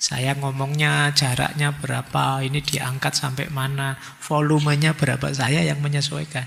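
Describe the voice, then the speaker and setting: Monotone, flat intonation at a moderate pace with hardly any pauses. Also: man, fairly high pitch for a man. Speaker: philosophy lecturer. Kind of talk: lecture. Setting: hall with audience, microphone. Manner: casual.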